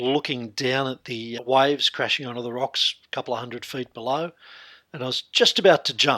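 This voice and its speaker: Speaking with an Australian accent, a man has a medium pitch, a bright, sharp tone, fairly even intonation and a moderate pace. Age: 60s. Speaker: hypnotherapist. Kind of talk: interview.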